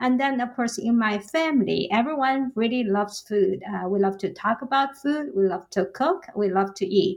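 With a Chinese accent, the speaker keeps a moderate pace with hardly any pauses and lively intonation over noticeable background noise. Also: woman, fairly high pitch for a woman. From Jiangnan, China. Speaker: college professor and author. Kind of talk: casual interview.

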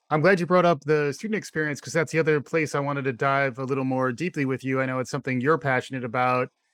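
With hardly any pauses, a man with a fairly high pitch races along at a very fast pace, showing ordinary pitch variation against a quiet background. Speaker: podcast host. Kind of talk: interview conversation.

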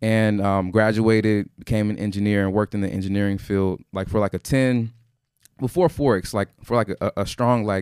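A man with an American accent and a normal speaking voice talks at a fairly quick pace and a fairly low pitch, the sound dry and close with no echo in a very clean recording with a silent background. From Houston, Texas. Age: 30s. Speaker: forex trader. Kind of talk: casual interview. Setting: studio.

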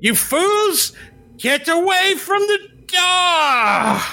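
An extremely high put-on character voice speaks at a very slow pace. Faint music plays in the background.

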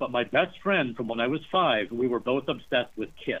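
A man with an American accent in a plain, everyday voice, lively intonation and a fairly quick pace. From US, rural small town. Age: 50s. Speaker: novelist. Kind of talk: interview.

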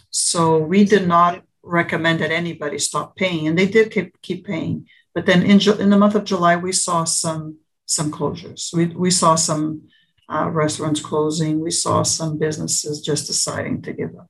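A woman speaks at a moderate pace in a somewhat breathy, fairly low voice. Her intonation stays fairly even while her loudness swings a lot. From Portugal. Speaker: insurance agent. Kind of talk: interview.

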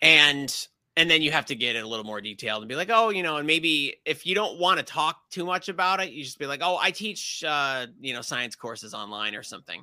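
A man speaks at a fairly quick pace with a fairly high pitch and a bright, sharp tone, on a very clean recording with a silent background. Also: big swings in loudness. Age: 40s. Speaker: science YouTuber. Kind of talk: casual interview chat. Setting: live stream.

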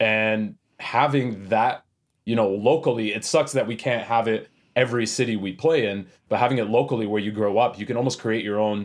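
The speaker has a western Canadian accent. The pace is fairly quick. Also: man. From Canada, Edmonton, Alberta. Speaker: metal band vocalist. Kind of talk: casual interview chat. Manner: animated, casual.

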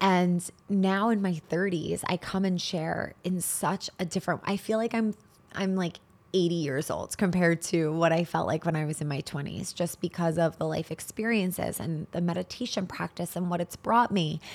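A woman's normal speaking voice, fairly low in pitch, with fairly even intonation at a moderate pace. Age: 30s. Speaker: spirituality and wellness podcast host. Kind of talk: solo podcast monologue.

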